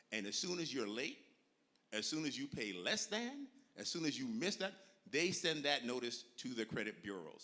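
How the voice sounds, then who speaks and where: A man talks in a bright, sharp, animated tone at a moderate pace. His pitch swings very widely. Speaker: financial educator. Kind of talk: seminar talk.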